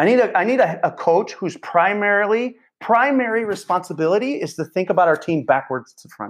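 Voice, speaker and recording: With an American accent and an energetic, passionate tone, a man talks at a fairly quick pace in a high pitch, with big swings in loudness and hardly any pauses. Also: quiet background. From central Illinois, US Midwest. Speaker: football coach and online clinic owner. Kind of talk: interview conversation.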